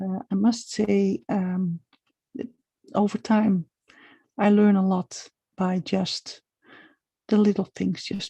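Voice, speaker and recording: Very slowly, a woman speaks in a somewhat breathy, dark, mellow tone with fairly even intonation. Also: dry, close sound with no echo. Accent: non-native. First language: not English. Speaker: small business coach. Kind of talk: live video monologue. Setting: live stream at home. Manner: halting.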